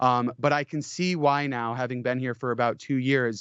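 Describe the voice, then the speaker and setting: A man with an American accent speaks at a moderate pace, his pitch medium. It is a plain, everyday voice. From US Midwest. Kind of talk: interview answer.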